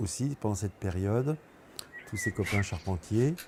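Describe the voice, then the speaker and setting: Delivered at a moderate pace with ordinary pitch variation, the speech comes through noticeable background noise. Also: man. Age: 60s. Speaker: retired carpenter. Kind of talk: testimony. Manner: halting.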